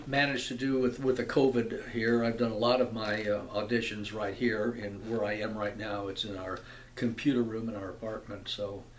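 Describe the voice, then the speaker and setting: A man's monotone, flat intonation with audible room echo. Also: medium pitch for a man, moderate pace. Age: 70s. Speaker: actor and video blogger. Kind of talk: casual vlog talk to camera. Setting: computer room in apartment. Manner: halting, many fillers and repetitions.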